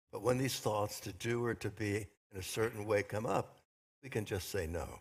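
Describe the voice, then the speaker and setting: A man's somewhat breathy, fairly low voice with fairly even intonation on a very clean recording with a silent background. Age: 80s+. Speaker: minister. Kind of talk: sermon.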